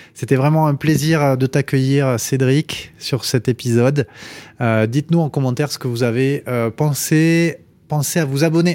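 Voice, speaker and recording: In an ordinary speaking voice, a man talks at a fairly slow pace with a fairly high pitch and fairly even intonation, captured in a very clean recording with a silent background and a dry, close sound with no echo. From Toulouse area, southwest France. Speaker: podcast host, startup co-founder. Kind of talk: interview.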